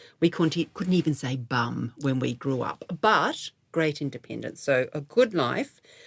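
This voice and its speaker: Speaking with an Australian accent, a woman uses a very deep, low pitch and lively intonation. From Australia, Melbourne. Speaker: guest on a women's midlife podcast. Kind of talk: interview conversation.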